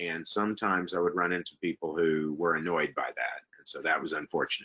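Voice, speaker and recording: With a Southern US accent, a man talks at a fairly quick pace in a very deep, low pitch. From US South, Texas. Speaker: university international admissions administrator. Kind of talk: webinar presentation with Q&A. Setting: online webinar. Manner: hesitant, many fillers.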